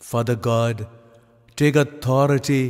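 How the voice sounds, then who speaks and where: A man speaks in a solemn tone at a medium pitch. His pace is fairly slow and his intonation fairly even. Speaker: priest. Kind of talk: fervent prayer, intercessory. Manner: solemn, earnest, pleading.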